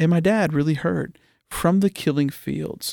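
A man at a moderate pace with ordinary pitch variation, in a very clean recording with a silent background and a dry, close sound with no echo. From Pittsburgh area, Pennsylvania (Oakmont), partly raised in Asia. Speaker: missions ministry leader. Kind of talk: podcast interview. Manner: animated.

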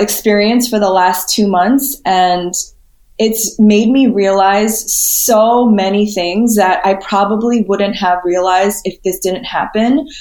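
A woman's very slow speech with an American accent, medium pitch and fairly even intonation. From New York City area (Queens, suburbs). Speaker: spiritual healer and motivational speaker. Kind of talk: podcast interview.

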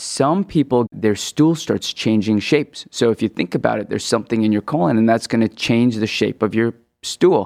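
An unremarkable speaking voice, this man talks at a moderate pace with a medium pitch, lively intonation and an American accent, in a dry, close sound with no echo. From Hong Kong, then US West Coast from age ten. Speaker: gastroenterologist. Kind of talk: medical interview.

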